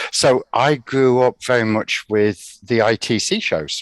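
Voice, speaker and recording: A man speaks with an English accent over a quiet background. The sound is dry and close, with no echo. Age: 60s. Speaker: retired teacher. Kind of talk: casual chat.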